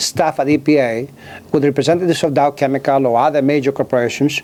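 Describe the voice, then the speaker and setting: A man with a Greek accent, fairly high in pitch with ordinary pitch variation, at a fairly quick pace amid noticeable background noise. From Greece, island of Kefalonia. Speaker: author and former government scientist. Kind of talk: interview. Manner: halting, many fillers.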